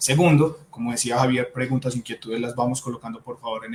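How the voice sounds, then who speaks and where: Speaking at a very fast pace, a man keeps a medium pitch. His intonation is monotone and flat. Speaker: psychologist. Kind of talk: webinar talk.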